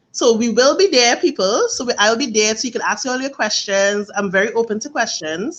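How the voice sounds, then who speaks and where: A woman with a Trinidadian accent talks at a fairly quick pace with hardly any pauses. Her fairly high voice has lively intonation. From Trinidad and Tobago. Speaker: face painter and art instructor. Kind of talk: casual interview.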